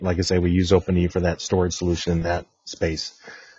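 Somewhat breathy, a man speaks at a very deep, low pitch. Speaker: technical marketing engineer. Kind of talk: technical webinar presentation. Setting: video call.

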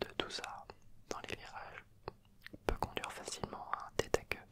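A man is speaking. He is whispering. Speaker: YouTuber explaining a motorsport activity. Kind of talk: casual vlog chat. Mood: enthusiastic, relaxed. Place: home room. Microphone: handheld.

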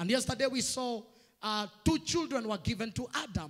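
A fairly slow pace against a quiet background. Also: man. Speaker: preacher. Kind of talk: sermon. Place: church. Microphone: handheld.

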